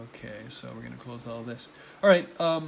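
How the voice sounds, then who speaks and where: Mumbling at a fairly slow pace, a man is heard with audible room echo. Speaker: college teacher. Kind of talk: tutorial. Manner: casual, filler-heavy.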